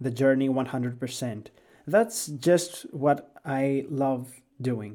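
The tone is dark and mellow, in a Greek accent. The pace is very slow. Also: man. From Greece. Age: 20s. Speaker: gaming podcaster. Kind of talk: podcast monologue.

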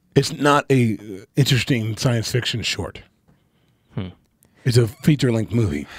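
A somewhat breathy man at a medium pitch, moderate pace and lively intonation, with long, frequent pauses. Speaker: podcast co-host. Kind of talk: casual chat.

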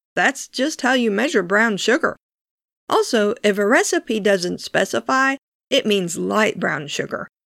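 In an American accent, this speaker talks at a fairly slow pace with very wide pitch swings, very even loudness and vocal fry, on a very clean recording with a silent background. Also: woman, fairly high pitch for a woman, dry, close sound with no echo. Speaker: podcast host and home cook. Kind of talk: scripted-style instructional cooking podcast narration. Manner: calm, clear, soft-spoken.

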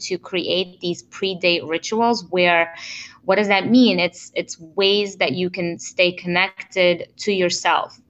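In an unremarkable speaking voice, a woman talks at a fairly low pitch with fairly even intonation. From immigrated to the US in 1992. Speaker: relationship coach. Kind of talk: interview.

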